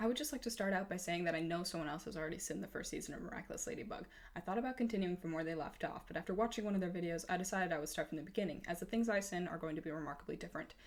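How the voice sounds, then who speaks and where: A woman's medium-pitched voice sounds shaky. She talks at a very fast pace with hardly any pauses. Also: ordinary pitch variation. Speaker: fan video commentator. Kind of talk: comedic commentary narration. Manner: shaky, a little hard to understand.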